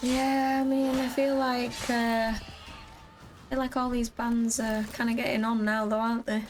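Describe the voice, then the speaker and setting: Amid noticeable background noise, a woman with a Welsh accent speaks at a moderate pace in a high pitch, her loudness very even and her intonation monotone and flat. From Wales, Swansea. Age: 20s. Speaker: gaming streamer. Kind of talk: casual chat. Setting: live stream.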